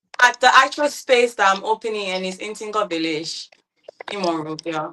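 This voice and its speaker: A woman with a London accent, medium in pitch, with lively intonation and big swings in loudness. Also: moderate pace. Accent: British London. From London, England. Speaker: entrepreneur opening a private dining business. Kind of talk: panel talk show discussion.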